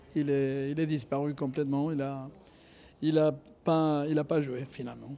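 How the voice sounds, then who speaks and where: A man's dark, mellow tone at a fairly high pitch, flat and monotone, at a fairly slow pace. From Argentina. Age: 50s. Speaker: tennis coach. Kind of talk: interview. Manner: hesitant, many fillers.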